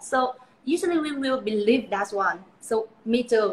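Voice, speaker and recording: Here a woman speaks with a Vietnamese accent. Her pitch varies in an ordinary way. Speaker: beauty pageant titleholder. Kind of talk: live interview. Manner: halting, with many fillers.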